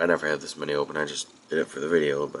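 Through noticeable background noise, a man with a very deep, low pitch speaks very fast. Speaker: tech youtuber. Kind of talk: casual tutorial. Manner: casual, with filler words.

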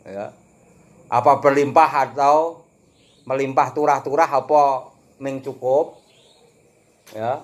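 Pausing long and often, a man with a fairly high pitch speaks at a very slow pace. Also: fairly even intonation. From Java, Indonesia. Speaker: religious teacher. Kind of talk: lecture. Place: home room. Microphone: phone near.

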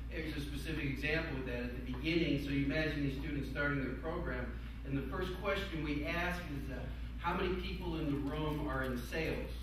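The speech comes at a fairly quick pace. Strong room echo and noticeable background noise fill the recording. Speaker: panelist. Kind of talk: panel discussion. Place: meeting room. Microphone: camera far.

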